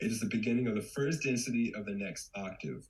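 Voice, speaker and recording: Talking at a fairly quick pace, a man with a fairly low pitch shows ordinary pitch variation. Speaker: community member presenter. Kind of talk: presentation. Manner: fast.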